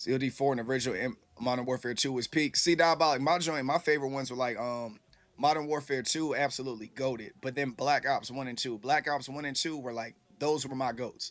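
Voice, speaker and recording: On a very clean recording with a silent background, a man with an American accent talks very fast at a medium pitch. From Houston, Texas. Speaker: gaming livestreamer. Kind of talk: casual livestream chat. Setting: livestream. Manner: animated.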